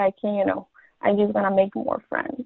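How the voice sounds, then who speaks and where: A woman speaks at a medium pitch. She has a Mexican accent. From Mexico. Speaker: college student. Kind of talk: interview. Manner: halting.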